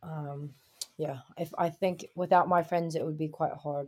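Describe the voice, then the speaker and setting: A dark, mellow voice in a New York accent with monotone, flat intonation and a moderate pace, on a very clean recording with a silent background. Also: woman. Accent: New York American. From Brooklyn, New York, US. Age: 20s. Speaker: basketball player and coach. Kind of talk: casual interview.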